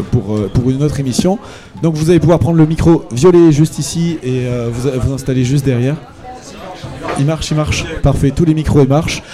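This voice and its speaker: Against noticeable background noise, a man talks at a moderate pace with long, frequent pauses, a fairly high pitch and ordinary pitch variation. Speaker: radio host. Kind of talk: live radio show. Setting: live broadcast from a bar with audience. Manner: hesitant, many fillers.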